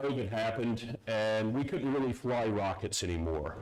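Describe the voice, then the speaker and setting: A man with an American accent speaks at a fairly slow pace in a fairly low voice with lively intonation, and audible room echo can be heard. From US South, North Carolina. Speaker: security consultant, conference speaker. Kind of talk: conference talk. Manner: halting, many fillers.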